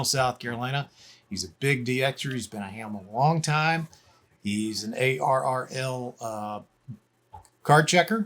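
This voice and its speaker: A plain, everyday voice at a fairly slow pace, with ordinary pitch variation and big swings in loudness. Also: man, medium pitch for a man. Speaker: amateur radio operator. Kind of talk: casual talk to camera.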